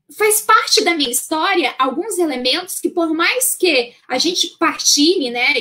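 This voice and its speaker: A woman speaks at a very slow pace in a raised, projected voice. Her pitch is extremely high, with lively intonation. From northern Brazil, Santarém, Pará. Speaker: Bible teacher. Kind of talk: lecture. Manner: many fillers and repetitions.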